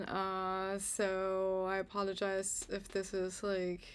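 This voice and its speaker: A woman speaks with a German accent. The recording is very clean, with a silent background. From Germany. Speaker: astrologer. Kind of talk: channel introduction to camera. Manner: halting, many fillers.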